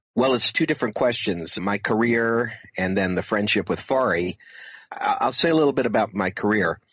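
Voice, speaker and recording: A man with an ordinary speaking voice and an American accent, fairly low in pitch, with ordinary pitch variation. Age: 60s. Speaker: filmmaker and author. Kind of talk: interview.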